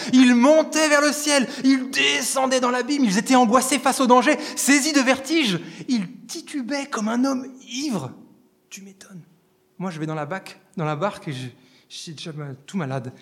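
With an extremely high pitch and lively intonation, a man talks at a moderate pace, broken by long, frequent pauses. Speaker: preacher. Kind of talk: sermon. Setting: church. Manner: animated, fervent preacher addressing the congregation as 'les amis'; emphatic, rhythmic repetition building to a climax.

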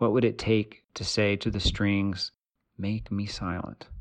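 A normal speaking voice from a man, fairly low-pitched and at a moderate pace, against a quiet background. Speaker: poet and professor. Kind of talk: poetry reading.

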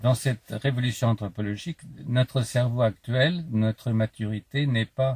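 The recording is very clean with a silent background. A man speaks at a fairly slow pace in a somewhat breathy voice. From France, Paris. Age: 70s. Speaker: philosopher and author. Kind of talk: interview. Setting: outdoors.

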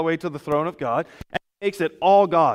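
A man talks in a high voice whose pitch shifts by ordinary amounts. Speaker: pastor. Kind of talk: sermon. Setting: church; PA system with online stream. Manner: loud, projecting.

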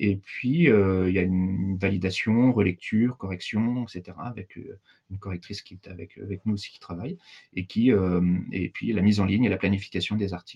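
Moderate-paced male speech, fairly low in pitch. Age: 40s. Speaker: digital training consultant. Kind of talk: casual interview. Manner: hesitant, many fillers.

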